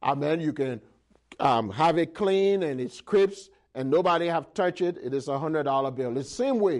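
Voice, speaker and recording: A man's unremarkable speaking voice, fairly high in pitch, with lively intonation and a moderate pace. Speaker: preacher. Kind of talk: sermon. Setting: church. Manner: call-and-response, fervent preaching; repetitive, stumbling over words.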